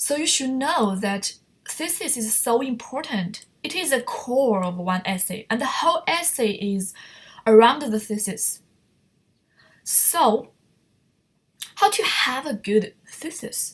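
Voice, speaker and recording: Very slow and broken by long, frequent pauses, a woman's high voice makes very wide pitch swings. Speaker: online writing teacher. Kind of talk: lecture.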